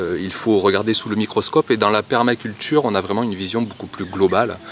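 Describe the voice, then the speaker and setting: Fairly quick speech from a man with a fairly low pitch, amid noticeable background noise. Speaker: gardening youtuber. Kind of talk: casual vlog talk. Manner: hesitant, many fillers.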